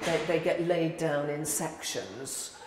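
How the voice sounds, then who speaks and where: The speech moves at a fairly slow pace with ordinary pitch variation, over noticeable background noise. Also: woman. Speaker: visual artist. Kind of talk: artist explaining her process. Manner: hesitant, conversational.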